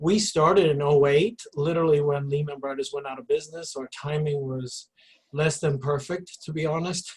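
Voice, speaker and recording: Somewhat breathy, a man with a fairly high pitch speaks at a moderate pace with fairly even intonation. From Sweden. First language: Swedish. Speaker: recruiter and career coach. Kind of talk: panel discussion. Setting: video call.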